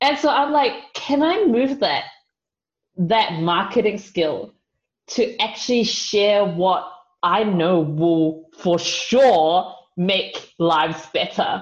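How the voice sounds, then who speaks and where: Speaking with a New Zealand accent, a woman has a medium pitch that moves through very wide swings. Her pace is very slow and her loudness very even. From New Zealand (Auckland), Chinese family. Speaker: youth leader and marketing professional. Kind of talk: podcast interview. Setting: video call.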